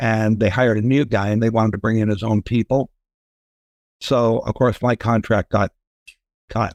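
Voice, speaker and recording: A man with a medium-pitched voice speaks at a moderate pace in a flat monotone, with very even loudness. He leaves long, frequent pauses, and the sound is dry and close with no echo. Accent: Canadian. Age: 60s. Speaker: sales and marketing expert. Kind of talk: podcast interview. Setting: video call.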